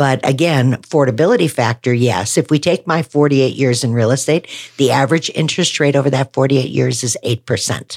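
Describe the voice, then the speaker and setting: A woman with an American accent talks at a fairly quick pace with hardly any pauses, using a very deep, low pitch, ordinary pitch variation and very even loudness. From Wisconsin, US Midwest. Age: 60s. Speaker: real estate agent. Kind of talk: casual podcast interview.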